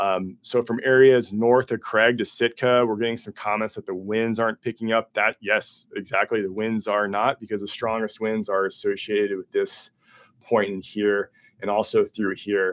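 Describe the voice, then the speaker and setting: Mumbled, monotone speech from a man at a fairly low pitch and moderate pace, on a very clean recording with a silent background. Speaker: weather forecaster. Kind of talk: livestream weather briefing. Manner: mumbling; casual, with many fillers.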